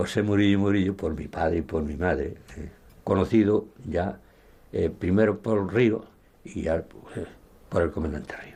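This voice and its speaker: A man's fairly low, dark and mellow voice, somewhat breathy, at a fairly slow pace with big swings in loudness. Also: ordinary pitch variation, quiet background. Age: 80s+. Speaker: former guerrilla fighter. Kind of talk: testimony.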